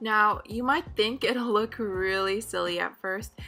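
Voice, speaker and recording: Over music in the background, a woman speaks in an upbeat tone at a fairly slow pace. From Philippines. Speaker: beauty vlogger. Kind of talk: hair tutorial voice-over. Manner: friendly, upbeat.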